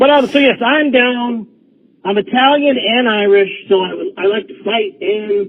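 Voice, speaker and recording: A man talks with an extremely high pitch and lively intonation. His pace is fairly slow. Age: 50s. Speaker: caller. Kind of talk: phone-in chat. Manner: animated.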